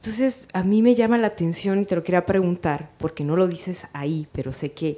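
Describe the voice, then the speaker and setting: At a fairly quick pace, a woman talks in a dark, mellow tone. Her pitch is medium, with ordinary pitch variation. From Mexico. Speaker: writer and teacher. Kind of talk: audience question at a book presentation. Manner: soft-spoken.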